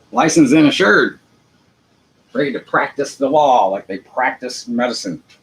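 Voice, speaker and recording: An American-accented man talks at a moderate pace with lively intonation. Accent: Southern US redneck accent, self-described. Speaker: internet show host. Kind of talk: monologue rant. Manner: unpolished, casual.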